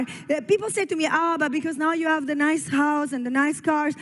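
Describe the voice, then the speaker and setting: A woman speaks in an Italian accent with a high pitch. Her tone is animated. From Italy. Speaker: network marketing leader. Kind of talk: motivational speech. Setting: stage at a company expo.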